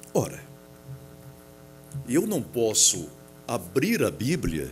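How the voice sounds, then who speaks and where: Vocal fry from a man at medium pitch, at a very slow pace. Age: 60s. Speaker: pastor. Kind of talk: sermon. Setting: church auditorium. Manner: formal.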